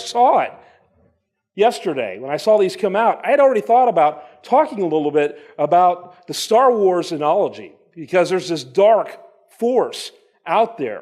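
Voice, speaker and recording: Loud and animated, the voice moves at a moderate pace. Its pitch swings very widely. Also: man. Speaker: conference speaker. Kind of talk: conference talk. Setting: stage with audience.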